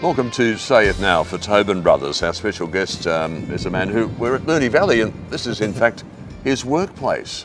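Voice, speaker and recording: A man's fairly low voice at a moderate pace with lively intonation, and music in the background. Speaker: radio announcer and master of ceremonies. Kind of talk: interview host.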